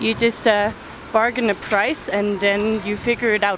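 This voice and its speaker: A woman talks loudly at a moderate pace. Noticeable background noise sits behind her. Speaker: travel vlogger. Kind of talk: casual vlog talk. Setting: outdoors.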